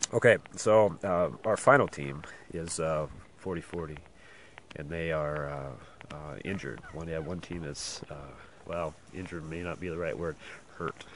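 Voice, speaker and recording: A man speaks quietly at a fairly slow pace, his very deep, low voice showing ordinary pitch variation. His loudness swings a lot. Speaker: race organizer giving live updates. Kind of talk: outdoor live update report. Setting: outdoors in backcountry. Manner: quiet, hushed; hesitant, many fillers.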